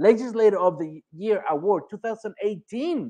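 The speaker's tone is animated and the pace moderate, against a quiet background. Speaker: podcast host. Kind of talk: interview.

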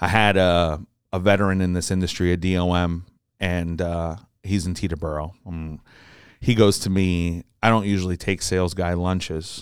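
In a very clean recording with a silent background, a man speaks at a moderate pace in a very deep, low voice with monotone, flat intonation. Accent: American. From New Jersey. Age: 20s. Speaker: aviation parts dealer. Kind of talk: casual interview.

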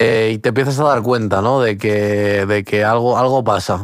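A man speaks at a very slow pace in a medium pitch. The recording is very clean, with a silent background. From Portugal, raised in Spain from age six. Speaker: podcast co-host. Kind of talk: casual chat. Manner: halting, many repetitions and fillers.

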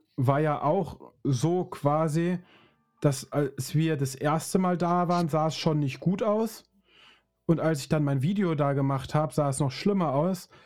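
Over music in the background, a man with a fairly high voice talks fairly slowly with ordinary pitch variation. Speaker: podcast host. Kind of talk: casual chat. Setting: studio.

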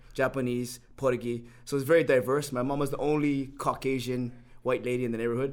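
A man with a Hawaiian accent speaks at a fairly quick pace. His medium pitch stays monotone and flat. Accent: Hawaii local English. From Hawaii, Honolulu. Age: 50s. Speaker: personal trainer. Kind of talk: casual chat.

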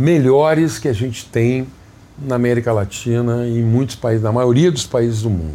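Moderate pacing and a medium pitch from a male speaker, over noticeable background noise. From Brazil, Rio Grande do Sul (Jaguari, Santa Maria). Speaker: public health physician. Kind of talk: interview.

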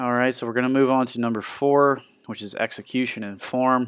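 Music plays behind a man with an American accent. He speaks at a fairly quick pace. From US Midwest, Ohio. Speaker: fitness coach. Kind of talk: podcast monologue.

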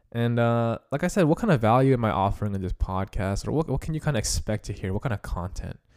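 A man talks very fast with hardly any pauses, his medium pitch rising and falling in lively intonation. The recording is very clean, with a silent background. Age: 20s. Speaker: fitness and cooking podcast host. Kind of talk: solo podcast monologue. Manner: casual, halting with fillers.

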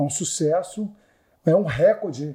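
A somewhat breathy voice of dark, mellow tone and ordinary pitch variation, in a very clean recording with a silent background. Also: man. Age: 40s. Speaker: luxury car salesman. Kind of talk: casual interview. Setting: podcast studio at architecture event. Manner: animated.

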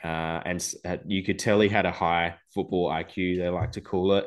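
With an Australian accent, a man with a very deep, low voice talks at a fairly quick pace and fairly even intonation against a quiet background. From Adelaide, South Australia. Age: 30s. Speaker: football fan. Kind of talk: casual chat.

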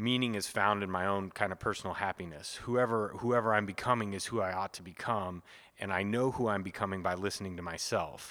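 Heard in a very clean recording with a silent background, a man with an American accent speaks at a moderate pace in a fairly low pitch, his tone bright and sharp and his pitch variation ordinary. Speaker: priest and podcast co-host. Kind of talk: casual chat.

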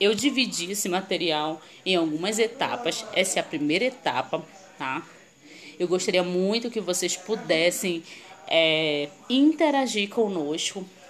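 Speaking fairly slowly with lively intonation, a woman uses an ordinary speaking voice at medium pitch. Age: 30s. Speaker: marketing consultant and live-stream host. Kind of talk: online presentation to viewers. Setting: live stream.

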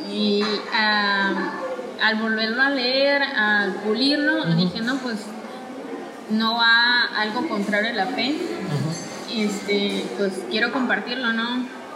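Over music in the background and audible room echo, a woman with a fairly high pitch speaks at a very slow pace with ordinary pitch variation. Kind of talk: casual interview. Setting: café.

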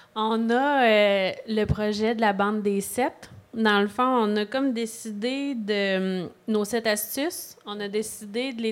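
In a Quebec accent, a woman speaks at a fairly high pitch with fairly even intonation. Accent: Québécois French. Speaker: podcast host, mental health organization. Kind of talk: interview. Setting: live podcast with audience.

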